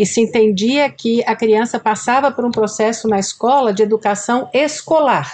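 A woman with a plain, everyday voice, fairly high pitch, ordinary pitch variation, very even loudness, a moderate pace and hardly any pauses. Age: 60s. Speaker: school director and educator. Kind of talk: podcast interview.

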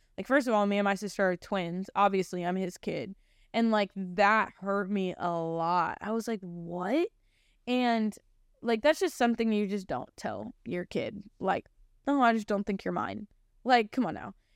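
A woman with an American accent speaks at a moderate pace and medium pitch, with ordinary pitch variation, in an ordinary speaking voice. The sound is dry and close with no echo, on a very clean recording with a silent background. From Ohio, US Midwest. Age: 20s. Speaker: podcast host, church staff member. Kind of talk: personal testimony. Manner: casual, filler-heavy speech.

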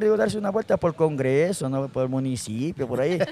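A man is speaking. His pace is very fast. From Ecuador, Guaranda (Bolívar). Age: 40s. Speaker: comedian. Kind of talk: casual chat. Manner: animated.

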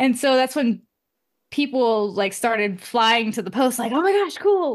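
Against a quiet background, a woman with an American accent speaks at a moderate pace with a high pitch and lively intonation. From US West Coast, Oakland. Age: 20s. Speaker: photographer and videographer. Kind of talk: casual chat.

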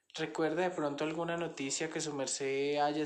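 Monotone, flat male speech with audible room echo. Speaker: student interviewer. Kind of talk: family interview for a class assignment.

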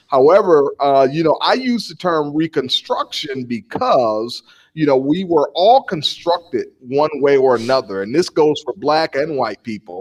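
A man with an American accent and fairly high pitch swings very widely in pitch, speaking at a fairly slow pace with hardly any pauses in a dry, close sound with no echo. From Milwaukee, Wisconsin. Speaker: pastor and ministry founder. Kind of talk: interview conversation.

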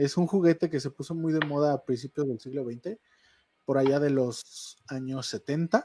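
An unremarkable speaking voice from a man, fairly high in pitch with ordinary pitch variation. The sound is dry and close, with no echo. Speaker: online radio show co-host. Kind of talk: storytelling; casual chat. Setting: studio.

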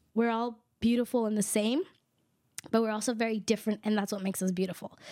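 The speaker is a woman with a fairly high pitch. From Guatemala. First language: K'iche' (Mayan). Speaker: podcast co-host. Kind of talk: casual interview conversation.

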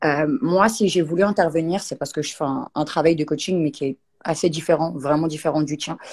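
Speaking at a fairly quick pace, a woman uses a very deep, low pitch with ordinary pitch variation. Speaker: viewer joining the live. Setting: online live stream.

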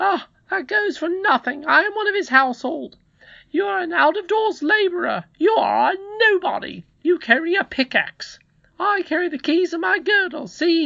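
In a put-on character voice, a man talks at an extremely high pitch and moderate pace, with a bright, sharp tone, lively intonation and vocal fry.

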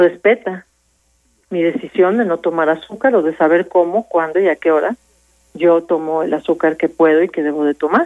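This woman has a normal speaking voice, a fairly low pitch with ordinary pitch variation, and a moderate pace. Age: 50s. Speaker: addiction specialist. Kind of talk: radio interview.

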